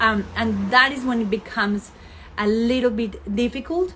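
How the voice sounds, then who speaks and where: A woman is speaking. She has a Colombian accent. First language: Spanish. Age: 30s. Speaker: fashion label founder. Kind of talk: live stream chat with followers. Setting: Instagram live, outdoors in sun. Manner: hesitant, many fillers.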